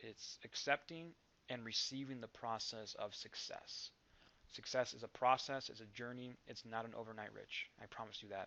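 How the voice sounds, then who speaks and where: A man speaks in a calm tone at a medium pitch and moderate pace. His intonation is fairly even, though his loudness swings widely. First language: not English. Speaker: network marketing vlogger. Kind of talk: motivational vlog.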